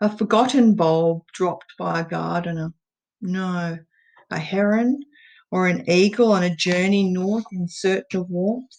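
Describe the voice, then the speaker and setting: A woman's medium-pitched voice with an Australian accent, ordinary pitch variation, a fairly slow pace and a quiet background. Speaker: poet. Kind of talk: poetry reading.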